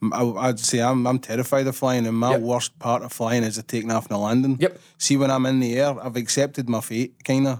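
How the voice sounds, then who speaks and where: A man in a Glaswegian accent, fairly quick with hardly any pauses, medium-pitched and monotone, on a very clean recording with a silent background. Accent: Glaswegian Scottish. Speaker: podcast host. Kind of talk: casual chat.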